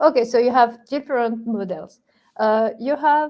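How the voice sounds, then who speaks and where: A woman with a strong French accent speaks in a fairly high pitch with ordinary pitch variation. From France. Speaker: ethical hacker. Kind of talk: interview. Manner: halting, many fillers.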